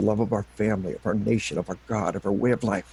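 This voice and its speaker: Speaking at a very fast pace, a man uses a fairly low voice. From Arkansas. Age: 60s. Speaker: retired army officer and military psychology author. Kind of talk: interview. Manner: impassioned, emphatic.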